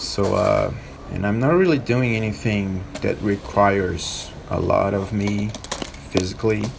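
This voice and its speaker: With a non-native accent, a man speaks at a fairly low pitch and a fairly slow pace, with audible room echo and noticeable background noise. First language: not English. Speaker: skateboarding vlogger. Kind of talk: vlog voiceover narration. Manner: halting.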